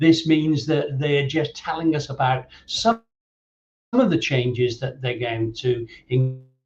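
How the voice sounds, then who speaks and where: A man speaks at a fairly slow pace with a fairly high pitch. His voice is somewhat breathy, with ordinary pitch variation. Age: 60s. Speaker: safeguarding consultant and trainer. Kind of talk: online presentation. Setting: live-streamed online event. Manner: halting, many fillers and repeats.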